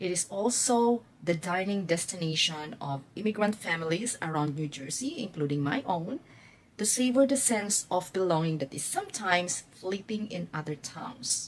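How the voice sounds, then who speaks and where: Woman with a Filipino accent, medium pitch, lively intonation and moderate pace, over noticeable background noise. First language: Filipino (Tagalog). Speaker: nurse and vlogger. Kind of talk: vlog narration. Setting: restaurant.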